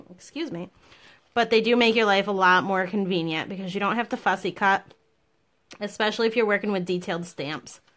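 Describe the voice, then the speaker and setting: In a plain, everyday voice, a woman speaks fairly quickly at a medium pitch with ordinary pitch variation. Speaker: papercraft demonstrator. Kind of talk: tutorial.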